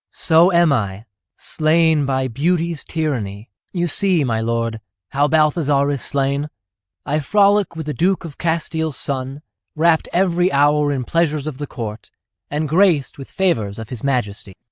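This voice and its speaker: Using a put-on character voice, a man speaks at a moderate pace and fairly high pitch with lively intonation against a quiet background. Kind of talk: Elizabethan verse drama. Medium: audio drama.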